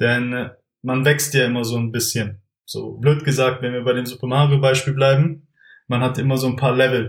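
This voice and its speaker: Somewhat breathy, a man of medium pitch speaks at a moderate pace in a flat monotone. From Germany, Stuttgart area (Swabia). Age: 20s. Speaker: entrepreneur, former business consultant. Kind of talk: casual interview.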